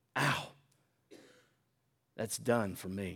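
A man puts on a raspy character voice. It sits at a fairly low pitch. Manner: gasping.

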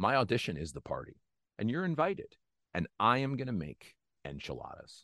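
Recorded dry and close with no echo, a man with an American accent talks at a fairly quick pace. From Northeast Pennsylvania. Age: 30s. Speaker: actor. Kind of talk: casual chat. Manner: animated.

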